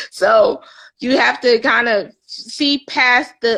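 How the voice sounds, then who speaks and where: Her voice is high and has a bright, sharp tone. The woman speaks with an American accent and fairly even intonation. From US, Philadelphia. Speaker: spiritual life coach. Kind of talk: interview chat on a live stream. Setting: live stream.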